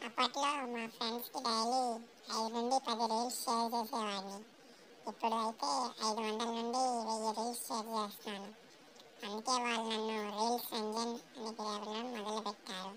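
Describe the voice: A cartoonish character voice, female-sounding and fairly high in pitch, moves at a moderate pace against clear background noise.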